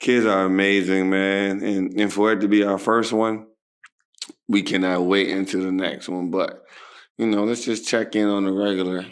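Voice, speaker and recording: A man with an American accent and a fairly low pitch, speaking at a moderate pace in a monotone, flat intonation. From United States. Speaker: basketball coach and podcast host. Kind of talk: casual chat.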